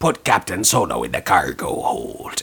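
A man in a put-on character voice at a moderate pace

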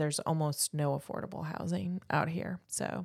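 The pitch varies in an ordinary way, and the recording is very clean with a silent background. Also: woman. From Indiana. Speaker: realtor. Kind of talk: casual chat.

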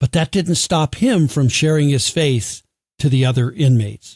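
In an American accent, the somewhat breathy voice moves at a fairly slow pace with a dry, close sound and no echo. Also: man. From United States. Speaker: podcast host. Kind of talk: scripted narration; interview.

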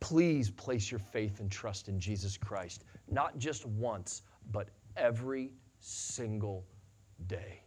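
Somewhat breathy and with an American accent, this voice moves at a very slow pace with ordinary pitch variation. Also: man, fairly low pitch for a man. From US Midwest, western Illinois. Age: 40s. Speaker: pastor. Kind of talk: sermon. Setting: church.

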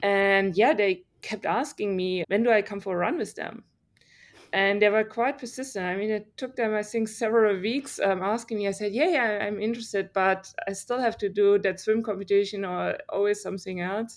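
A woman with a German accent talks at a moderate pace. Her pitch is medium and the background quiet. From Germany. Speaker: triathlete and research scientist. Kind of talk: interview. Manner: animated.

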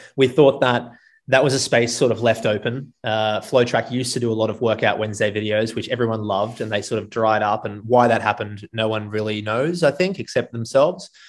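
With an Australian accent, a man at a medium pitch moves at a fairly quick pace with ordinary pitch variation and hardly any pauses. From Gold Coast, Australia. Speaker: running coach and business founder. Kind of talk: casual chat.

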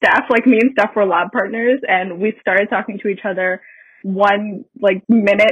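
The woman has an ordinary speaking voice, medium in pitch, talking at a moderate pace with fairly even intonation. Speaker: university student. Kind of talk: casual interview.

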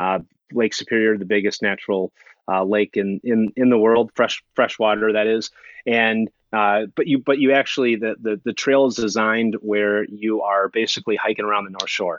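This man speaks with a Minnesotan accent at a moderate pace. His pitch is fairly low and his intonation fairly even. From US Minnesota. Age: 30s. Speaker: long-distance hiker and YouTuber. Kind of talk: casual interview chat.

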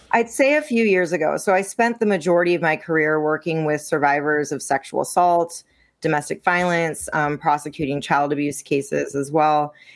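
A woman's very deep, low voice with ordinary pitch variation on a very clean recording with a silent background. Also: moderate pace. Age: 30s. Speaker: intimacy coach, former prosecutor. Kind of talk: interview.

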